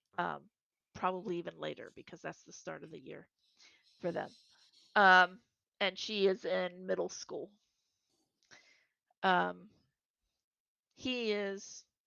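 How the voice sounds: A woman speaks slowly with a bright, sharp tone at a fairly low pitch, her fairly even intonation carrying vocal fry and broken by long, frequent pauses. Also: dry, close sound with no echo.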